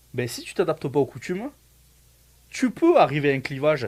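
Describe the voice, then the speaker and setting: In a very clean recording with a silent background, a man with a fairly high, somewhat breathy voice talks at a fairly quick pace, his intonation lively and his loudness swinging widely. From France. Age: 30s. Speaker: student, immigrant, former soldier. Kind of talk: casual interview. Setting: Facebook live.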